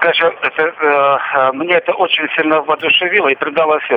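At a moderate pace and with ordinary pitch variation, the speaker is heard over noticeable background noise. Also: man. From Russia. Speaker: imprisoned pilot. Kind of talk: interview. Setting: phone call.

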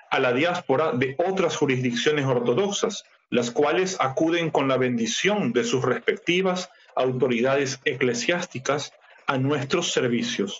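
Over noticeable background noise, a man speaks at a fairly slow pace with very even loudness and ordinary pitch variation. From Ecuador. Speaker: church missionary. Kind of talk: interview. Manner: formal.

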